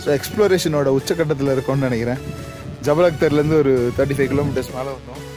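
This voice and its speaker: Clear music plays in the background. Over it, a man speaks at a fairly high pitch with ordinary pitch variation. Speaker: radio jockey and vlogger. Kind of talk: casual talk to camera, travel vlog. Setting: outdoors. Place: open country. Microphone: phone near.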